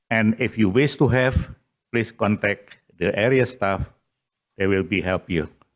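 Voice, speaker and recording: Speaking at a very slow pace, a man with an Indonesian accent has a fairly low pitch. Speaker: retired military general. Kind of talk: formal speech.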